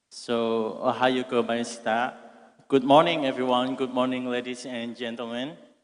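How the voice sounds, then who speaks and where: A man speaks fairly slowly with an Indonesian accent. His intonation is monotone and flat. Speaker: university student asking question. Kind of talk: audience question at conference. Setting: conference hall with audience. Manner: reading from phone.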